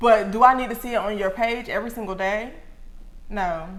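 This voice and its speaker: Amid audible room echo, a woman talks with an animated tone, a fairly high pitch and a fairly quick pace. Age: 20s. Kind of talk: casual chat.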